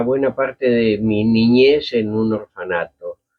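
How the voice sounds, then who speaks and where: A man with a Rioplatense accent. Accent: Argentine Spanish (rioplatense). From Argentina. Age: 80s+. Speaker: writer and playwright. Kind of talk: interview. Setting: studio, seated in armchair.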